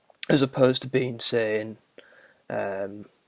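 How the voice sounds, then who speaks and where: Here a man talks with a northern English accent. His pitch is medium and his intonation monotone and flat. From northern England. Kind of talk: casual monologue answering a prompt. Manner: halting, many fillers.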